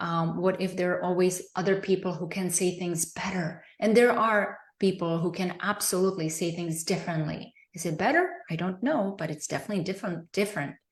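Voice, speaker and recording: Speaking with a non-native accent, a woman uses a medium pitch. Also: fairly even intonation, fairly quick pace, hardly any pauses. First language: not English. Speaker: presenter, business coach. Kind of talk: live online training. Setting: livestream. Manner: hesitant, with fillers.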